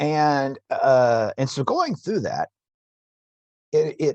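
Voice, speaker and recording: A man's dark, mellow voice at a very slow pace, dry and close with no echo, over a quiet background. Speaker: university instructor. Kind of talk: tutorial. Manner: halting, stumbling over words.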